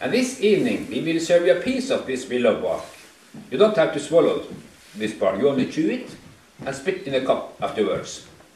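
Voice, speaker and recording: A man with a Northern Scandinavian accent at a fairly quick pace, amid audible room echo and noticeable background noise. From Northern Norway, Sami area. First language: Northern Sami. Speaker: tour guide. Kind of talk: guided tour talk. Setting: tour group excursion. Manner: halting.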